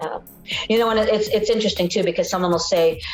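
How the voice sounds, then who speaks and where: Over music in the background, a woman talks at a very fast pace with fairly even intonation. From British Columbia, Canada. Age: 60s. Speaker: nurse in long-term addiction recovery. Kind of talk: documentary interview testimony. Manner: reflective, hesitant with many fillers.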